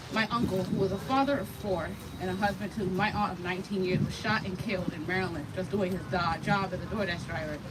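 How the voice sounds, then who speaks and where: Over noticeable background noise and audible room echo, a woman with an American accent talks very fast at a medium pitch. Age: 20s. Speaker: activist and gun violence survivor. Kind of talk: rally speech. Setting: outdoor rally on the National Mall. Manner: emotional.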